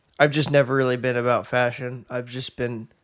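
A man talks in an unremarkable speaking voice at medium pitch, with ordinary pitch variation. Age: 20s. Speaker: podcast co-host. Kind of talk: casual chat.

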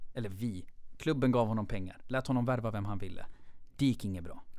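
A man with a normal speaking voice talks at a medium pitch with lively intonation. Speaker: football fan guest. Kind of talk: casual chat.

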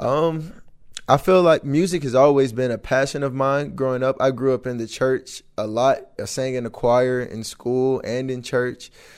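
A man's medium-pitched, unremarkable speaking voice at a moderate pace with fairly even intonation. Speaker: college football player. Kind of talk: interview.

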